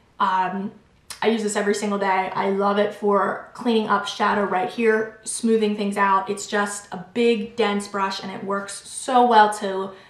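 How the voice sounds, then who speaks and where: A woman with a medium pitch and fairly even intonation speaks at a fairly slow pace amid audible room echo and noticeable background noise. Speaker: beauty vlogger. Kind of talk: product review monologue.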